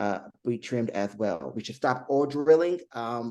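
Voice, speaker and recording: The voice has a dark, mellow tone. Its intonation rises and falls in a typical way. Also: man. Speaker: city council candidate and pastor. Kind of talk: candidate interview.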